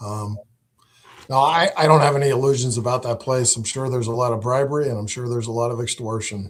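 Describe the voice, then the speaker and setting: A man with an American accent talks at a very fast pace, somewhat breathy and medium in pitch. His intonation is fairly even, and the recording is very clean with a silent background. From New England (western Massachusetts). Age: 60s. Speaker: political candidate. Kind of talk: live interview.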